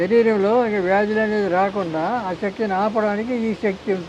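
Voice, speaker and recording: This man has a high pitch and fairly even intonation. Background noise is noticeable. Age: 80s+. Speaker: ayurvedic healer. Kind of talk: interview answer.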